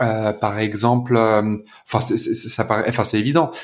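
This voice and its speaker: Pitched fairly low, the man's voice varies in pitch in an ordinary way. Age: 30s. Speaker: podcast host, watch enthusiast. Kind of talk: casual chat. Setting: remote recording. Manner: halting, many repetitions.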